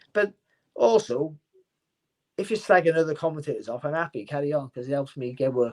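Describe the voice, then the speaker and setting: With a Cardiff accent and a fairly high pitch, a man talks at a fairly quick pace with lively intonation and long, frequent pauses. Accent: Welsh (Cardiff). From Wales, Cardiff. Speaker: boxing commentator and former world champion boxer. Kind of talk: casual interview chat. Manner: fast.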